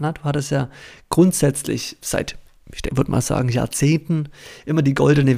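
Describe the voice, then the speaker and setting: His fairly high voice carries a dark, mellow tone, moving at a moderate pace with ordinary pitch variation. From Baden-Württemberg, Germany. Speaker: startup founder. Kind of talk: interview.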